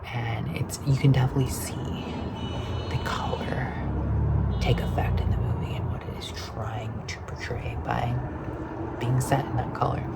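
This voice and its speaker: A whispering voice speaks at a fairly slow pace over noticeable background noise. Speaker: vlogger. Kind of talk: soft-spoken ASMR ramble. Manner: soft-spoken.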